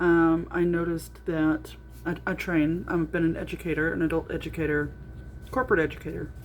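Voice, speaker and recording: Noticeable background noise behind a woman at a fairly quick pace. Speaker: vlogger with myasthenia gravis, adult educator. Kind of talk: personal video diary. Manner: halting, many fillers.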